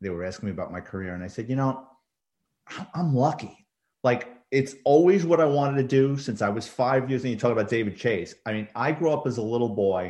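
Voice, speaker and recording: A man with a New York accent speaks at a medium pitch, his tone dark and mellow and his intonation lively. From New York City, the Bronx. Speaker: retired police detective and crime author. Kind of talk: casual interview.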